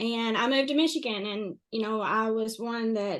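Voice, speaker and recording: A woman's fairly high voice in a strong Kentucky accent, with ordinary pitch variation at a moderate pace. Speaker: interview guest sharing life story. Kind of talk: podcast interview, personal testimony. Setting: podcast recording.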